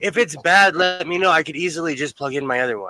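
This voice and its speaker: A loud voice with a bright, sharp tone, lively intonation, and a fairly quick pace. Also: man. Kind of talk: casual chat.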